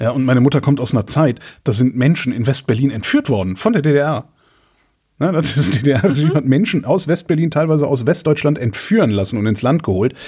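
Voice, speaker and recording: Somewhat breathy and dark, mellow in tone, a man talks at a fairly quick pace and a medium pitch. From Rhineland, Germany. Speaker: podcast host. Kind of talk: casual chat.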